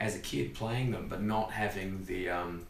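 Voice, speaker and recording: Audible room echo and noticeable background noise, with an Australian accent and ordinary pitch variation. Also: man. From Australia (Perth). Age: 30s. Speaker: comedian. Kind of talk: casual chat. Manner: fast; animated.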